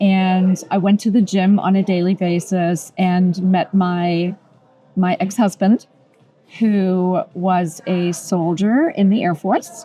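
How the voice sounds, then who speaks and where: Over background music, a woman speaks very slowly at a medium pitch. Her intonation is fairly even and her loudness very even. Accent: German. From Germany. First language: German. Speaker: interior designer. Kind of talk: oral history interview.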